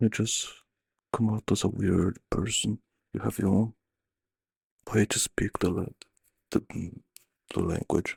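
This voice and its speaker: A man with fairly low pitch speaks at a fairly slow pace in a monotone, flat intonation, somewhat breathy, with long, frequent pauses and a dry, close sound with no echo. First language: Portuguese. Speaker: streamer. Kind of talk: casual chat.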